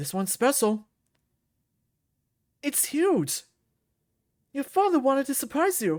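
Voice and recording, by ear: Slowly, a man performs a put-on character voice with an extremely high pitch. His tone is slightly mellow, and his pitch swings widely. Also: very clean recording, silent background.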